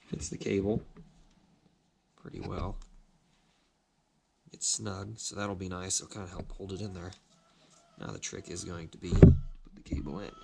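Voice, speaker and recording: Noticeable background noise accompanies a man with a very deep, low pitch at a moderate pace. His loudness swings widely, and he leaves long, frequent pauses. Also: ordinary pitch variation. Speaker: hobbyist machinist restoring a motorcycle. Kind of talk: workshop tutorial. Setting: workshop with lathe and grinder.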